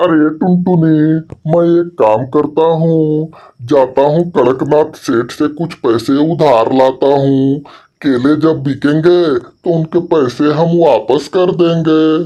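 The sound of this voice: At a very slow pace, a cartoonish character voice speaks at a middle pitch.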